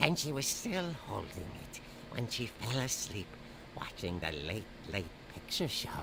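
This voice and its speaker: A man puts on a theatrical character voice at medium pitch and a moderate pace. He leaves long, frequent pauses over loud background noise. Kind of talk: horror comic narration. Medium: video game. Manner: dry, theatrical.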